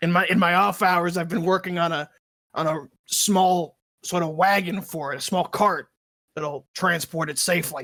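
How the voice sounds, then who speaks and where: Someone speaks in a put-on character voice that is raspy and middle-pitched, moving at a moderate pace with long, frequent pauses. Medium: actual play. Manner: chatty, cheerful.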